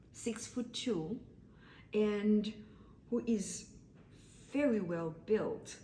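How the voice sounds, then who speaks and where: A woman speaks with a dark, mellow tone, somewhat breathy, at medium pitch. Her pitch varies in an ordinary way, and there is audible room echo. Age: 60s. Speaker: vlogger. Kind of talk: casual monologue. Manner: halting.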